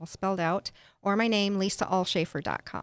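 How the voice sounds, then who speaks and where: A woman's unremarkable speaking voice at medium pitch, with fairly even intonation, a dry, close sound free of echo, and a very clean recording over a silent background. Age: 50s. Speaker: transformational life coach and author. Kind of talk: casual interview chat.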